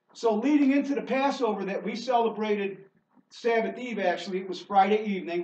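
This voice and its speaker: A man's high-pitched voice with ordinary pitch variation, a fairly quick pace and audible room echo. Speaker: preacher. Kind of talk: sermon. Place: church. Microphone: camera far.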